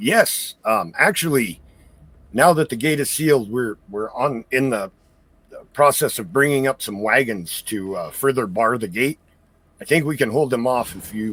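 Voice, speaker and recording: A man puts on a raspy character voice at a medium pitch. His loudness swings widely as he moves at a moderate pace. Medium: actual play. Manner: polite, stammering, hesitant.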